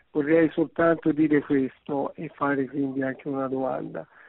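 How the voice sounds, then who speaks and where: A man with a Tuscan accent speaks at a fairly slow pace. His voice is fairly high, and his intonation is fairly even. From Tuscany, Livorno. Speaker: radio caller. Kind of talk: call-in comment. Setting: phone call.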